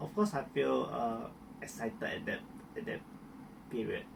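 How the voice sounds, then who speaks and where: You can hear a man talking. There's noticeable noise in the background. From Malaysia, Miri, Sarawak. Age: 30s. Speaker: hairdresser. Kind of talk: interview testimony. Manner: halting, with repetitions.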